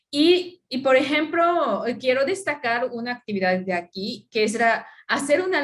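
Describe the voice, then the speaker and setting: A woman with a non-native accent speaks in a high pitch that swings very widely. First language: not Spanish (speaking Spanish). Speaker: anthropologist. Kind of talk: conference talk. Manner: halting.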